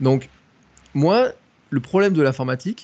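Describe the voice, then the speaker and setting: This man's voice sits at a fairly high pitch. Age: 40s. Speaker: content creator. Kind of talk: casual chat.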